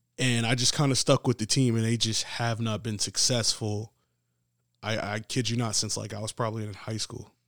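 A man with a New York accent speaks at a moderate pace in a medium pitch and monotone, flat intonation, the sound dry and close with no echo on a very clean recording with a silent background. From New York City, the Bronx. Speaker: PE teacher and football coach. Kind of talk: casual interview.

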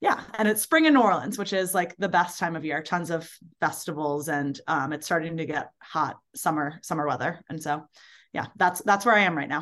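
Over a quiet background, a woman with an American accent talks at a moderate pace in an ordinary speaking voice. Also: fairly low pitch for a woman, ordinary pitch variation. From Baltimore, US. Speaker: ultrarunner and summer camp director. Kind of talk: casual interview.

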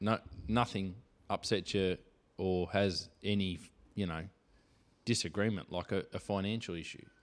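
In a very clean recording over a silent background, a man with an Australian accent speaks at a moderate pace and a fairly low pitch, with fairly even intonation and long, frequent pauses. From Victoria, Australia. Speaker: podcast host. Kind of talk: casual chat. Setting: home studio.

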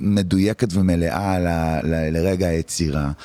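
Amid noticeable background noise, a man with a very deep, low voice speaks at a very slow pace with fairly even intonation. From Israel, Tel Aviv. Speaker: music producer and musician. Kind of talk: interview conversation. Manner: halting.

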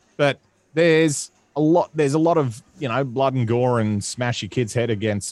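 A man with an Australian accent speaks at a fairly slow pace with ordinary pitch variation. The recording is very clean with a silent background, and the sound is dry and close with no echo. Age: 30s. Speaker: comedian. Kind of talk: casual chat. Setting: home studio.

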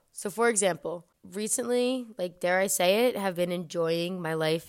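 Recorded very cleanly against a silent background, a woman talks in an ordinary speaking voice at a fairly low pitch. Her pace is moderate and her pitch variation ordinary. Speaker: podcast host. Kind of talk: solo podcast monologue, casual.

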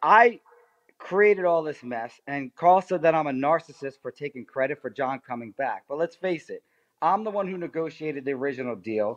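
A man speaks at a fairly quick pace with lively intonation and a fairly high pitch. The background is quiet. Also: dry, close sound with no echo. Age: 40s. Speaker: lawyer. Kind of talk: casual chat.

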